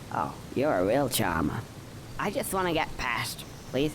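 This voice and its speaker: Someone performs a put-on character voice at low-to-middle pitch. The pace is moderate, with loud background noise. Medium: video game. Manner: sarcastic, wisecracking.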